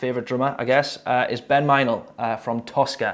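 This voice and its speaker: A man with a Geordie accent at medium pitch and a fairly quick pace, in a very clean recording with a silent background. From northern England, Newcastle. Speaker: drummer reacting to music videos. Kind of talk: casual video commentary. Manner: hesitant, many fillers.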